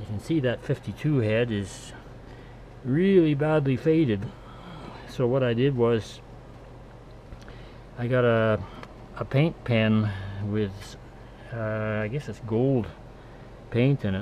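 A man at a very slow pace, with ordinary pitch variation, long, frequent pauses and light background noise. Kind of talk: casual tutorial narration. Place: home room. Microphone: camera far.

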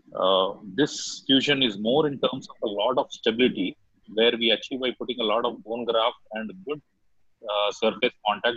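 A man at a moderate pace with ordinary pitch variation, in a quiet, dry setting with no echo. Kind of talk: lecture. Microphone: video call.

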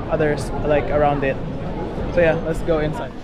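A man talks at a moderate pace over background music. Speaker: travel vlogger. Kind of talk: casual vlog chat. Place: street. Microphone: phone near.

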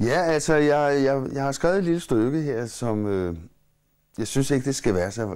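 Lively intonation marks a man speaking at a fairly slow pace over a quiet background. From Copenhagen, Amager; Copenhagen. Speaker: musician and playwright; interviewee. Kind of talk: interview. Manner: halting. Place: home room.

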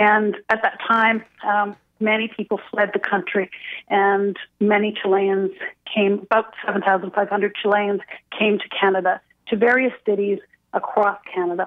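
Over a quiet background, a woman speaks at a medium pitch and a fairly slow pace, with flat, monotone intonation. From Chile, raised in Montreal from age 8. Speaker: theatre director. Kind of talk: radio interview. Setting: phone call. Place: studio.

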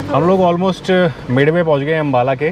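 There is noticeable background noise as a man talks at a moderate pace with ordinary pitch variation, the sound dry with no echo. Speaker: travel vlogger. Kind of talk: casual vlog chat. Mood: cheerful, enthusiastic. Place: car. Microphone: lapel.

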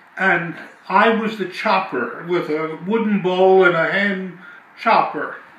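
A man with an American accent talks at a very slow pace, his pitch high with ordinary variation. Audible room echo surrounds his voice. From South Philadelphia, USA. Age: 80s+. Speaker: family elder recalling memories. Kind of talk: interview answer. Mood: animated reminiscing. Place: home room.

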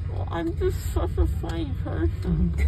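Clear music plays in the background as the speaker talks at a fairly slow pace with ordinary pitch variation. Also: woman. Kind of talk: casual chat. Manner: groggy, numb-mouthed post-anesthesia speech. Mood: playful, self-mocking. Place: car. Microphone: phone near.

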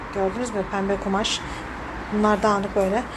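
A woman talks at a moderate pace. Noticeable background noise can be heard. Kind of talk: casual vlog chat. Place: home room. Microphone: phone near.

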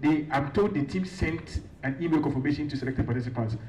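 Fairly high male voice with ordinary pitch variation, a moderate pace and noticeable background noise. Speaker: student leader and climate activist. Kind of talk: announcements at a conference. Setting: stage with audience.

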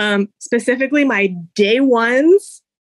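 A woman's high-pitched voice comes through in a dry, close recording with no echo. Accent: Hawaiian. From Hawaii. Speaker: family history researcher. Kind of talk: casual chat.

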